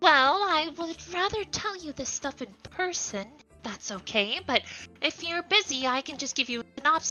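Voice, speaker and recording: Faint music plays behind a woman using a put-on character voice, high-pitched and at a moderate pace. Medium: virtual streamer. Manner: eager, friendly.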